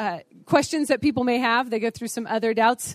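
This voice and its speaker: Loud and animated, a woman talks at a moderate pace with a dry, close sound and no echo. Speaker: conference speaker on apologetics. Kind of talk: lecture. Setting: stage with audience.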